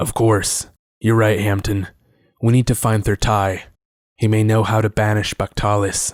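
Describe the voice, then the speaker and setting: A man with a fairly low pitch performs a put-on character voice, his intonation monotone and flat. His loudness stays very even, broken by long, frequent pauses. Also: moderate pace. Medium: read story.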